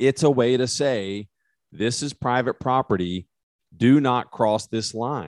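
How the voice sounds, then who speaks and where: On a very clean recording with a silent background, a man with an American accent speaks at a fairly slow pace and medium pitch with ordinary pitch variation. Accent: West Texas, comes out when talking hunting. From West Texas. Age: 40s. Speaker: criminal defense attorney, podcast co-host. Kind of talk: casual chat.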